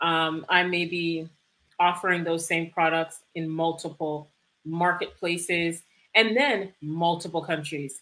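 Speaking at a fairly slow pace with a Canadian accent, a woman has a fairly low pitch, a bright, sharp tone and fairly even intonation. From Canada (Toronto), Jamaican immigrant parents. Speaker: e-commerce fulfillment business owner; guest. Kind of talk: livestream interview. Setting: video livestream. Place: home room. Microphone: webcam.

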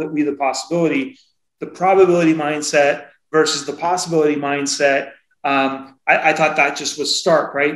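A man with an American accent and an unremarkable speaking voice, fairly high-pitched, at a moderate pace with fairly even intonation. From Seattle. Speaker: podcast co-host. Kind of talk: casual interview chat.

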